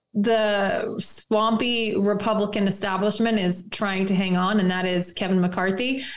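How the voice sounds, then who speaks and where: A woman talks fairly slowly in an unremarkable speaking voice, fairly high in pitch, with ordinary pitch variation. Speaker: attorney and campaign staffer. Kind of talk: friendly political interview.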